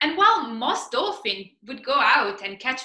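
A raised, projected voice moves at a very slow pace with very wide pitch swings. Audible room echo surrounds it, against a quiet background. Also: woman. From Italy. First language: Italian. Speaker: PhD researcher, marine biologist. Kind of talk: science communication talk. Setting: stage competition presentation. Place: home room. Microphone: webcam.

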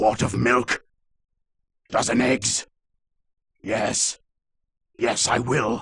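A man's put-on character voice, very slow and medium-pitched, fairly bright with vocal fry, a husky, rough edge and little pitch movement

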